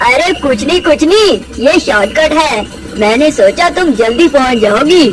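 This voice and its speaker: At a moderate pace, a cartoonish character voice comes through with clear background noise behind it. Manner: smooth, falsely friendly.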